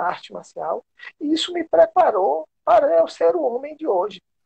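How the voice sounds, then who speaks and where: A man is talking. His pace is moderate. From interior of Bahia, Brazil. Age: 50s. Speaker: taekwondo master and sports official. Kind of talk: interview on a live stream.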